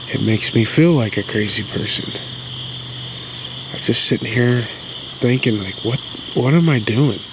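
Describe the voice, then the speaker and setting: Soft-spoken and at a moderate pace, a man of medium pitch with ordinary pitch variation takes long, frequent pauses amid audible room echo and noticeable background noise. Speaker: outdoor vlogger, bigfoot hunter. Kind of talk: casual monologue to camera. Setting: outdoors at night.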